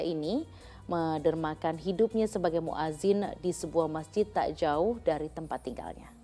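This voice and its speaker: With music in the background, a woman speaks at a moderate pace and fairly low pitch, using ordinary pitch variation and hardly any pauses. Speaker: news program host. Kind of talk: news anchor read and studio interview questions.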